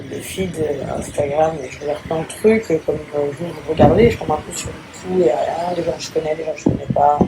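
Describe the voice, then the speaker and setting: A woman with a very deep, low pitch talks at a moderate pace, using ordinary pitch variation and big swings in loudness. Noticeable background noise and audible room echo fill the recording. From France. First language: English (speaking French). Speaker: influencer. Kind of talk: casual vlog monologue. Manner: hesitant, many fillers.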